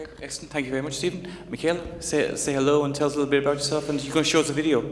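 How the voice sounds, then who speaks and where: Over noticeable background noise, a man with an Irish accent talks at a very fast pace in a fairly high pitch with monotone, flat intonation. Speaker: journalist, panel moderator. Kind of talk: panel discussion.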